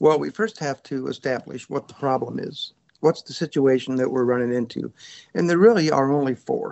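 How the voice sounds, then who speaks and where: With a fairly high voice and ordinary pitch variation, a man speaks at a moderate pace. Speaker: safecracker and author. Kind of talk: interview chat. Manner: soft-spoken.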